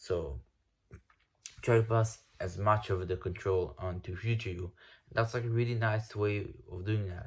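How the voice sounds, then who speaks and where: On a very clean recording with a silent background, a man with a non-native accent and a fairly low pitch speaks in a somewhat breathy voice with ordinary pitch variation and long, frequent pauses. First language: not English. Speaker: self-improvement YouTuber. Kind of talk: casual vlog rant. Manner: halting, with repetitions and false starts; casual, slangy.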